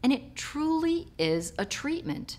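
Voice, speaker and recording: A woman is speaking. Her pitch swings very widely. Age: 50s. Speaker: nurse practitioner. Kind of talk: testimonial for skincare product. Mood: warm, pleased. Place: home room.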